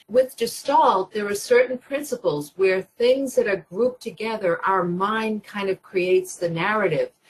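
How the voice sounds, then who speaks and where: A plain, everyday voice from a woman, medium in pitch, with lively intonation at a moderate pace. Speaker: usability expert, webinar presenter. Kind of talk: webinar presentation. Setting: online webinar.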